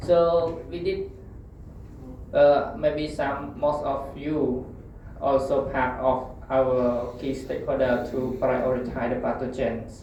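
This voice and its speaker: A man with a Cambodian accent at medium pitch, very slow and monotone with flat intonation, amid noticeable background noise and audible room echo. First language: Khmer. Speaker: food safety researcher. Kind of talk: conference presentation. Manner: halting.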